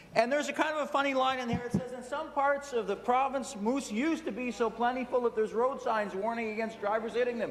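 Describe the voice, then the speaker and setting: Extremely high in pitch, a man speaks at a very fast pace with hardly any pauses. His intonation is fairly even, with noticeable background noise behind him. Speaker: provincial legislator. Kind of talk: legislative floor statement.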